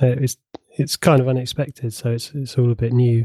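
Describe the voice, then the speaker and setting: In a plain, everyday voice, a man speaks at medium pitch and a moderate pace, with a dry, close sound with no echo. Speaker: podcast co-host, IT professional. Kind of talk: casual chat.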